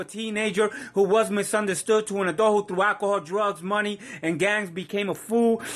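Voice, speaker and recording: A man speaks with a Puerto Rican accent at a fairly quick pace. His pitch is high and his intonation is flat and monotone. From Puerto Rico. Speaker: spoken word poet. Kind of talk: spoken word poetry performance.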